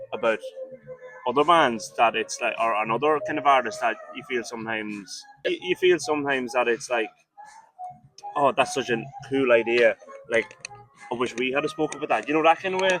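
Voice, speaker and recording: Music plays behind a man who speaks fairly quickly in a fairly high voice with ordinary pitch variation and long, frequent pauses. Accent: Irish. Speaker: rock band member. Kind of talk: interview.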